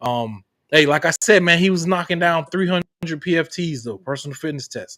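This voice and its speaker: With a slight Southern US accent, a man speaks at a fairly quick pace and fairly high pitch, his animated, bright, sharp tone showing ordinary pitch variation, captured as a dry, close sound with no echo on a very clean recording with a silent background. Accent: slight Southern twang. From Florida. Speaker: podcast host, Marine veteran. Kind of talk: casual interview.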